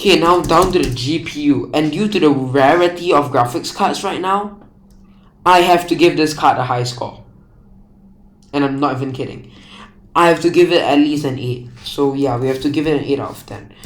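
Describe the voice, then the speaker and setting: Speaking at a moderate pace, a man with a fairly high voice uses ordinary pitch variation while audible room echo surrounds him. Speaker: tech YouTuber. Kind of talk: casual tech review.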